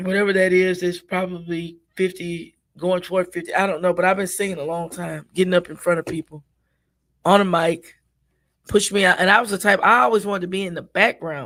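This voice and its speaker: A woman with an American accent speaks fairly quickly at a medium pitch. Hers is a plain, everyday voice with fairly even intonation. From US Midwest (Minneapolis, Minnesota). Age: 60s. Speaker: gospel singer and cooking show host. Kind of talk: interview.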